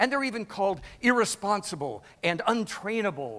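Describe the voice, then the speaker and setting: A man speaks in a high pitch with a bright, sharp tone. His intonation is lively and his tone is passionate. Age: 60s. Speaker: keynote speaker on customer service. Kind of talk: keynote speech. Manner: emphatic, passionate.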